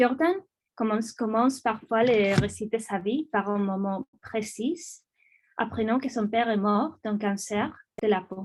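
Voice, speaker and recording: With a non-native accent, a woman speaks at a very slow pace in a fairly high pitch with ordinary pitch variation. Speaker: academic researcher. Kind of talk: lecture; reading aloud. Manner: halting, many hesitations.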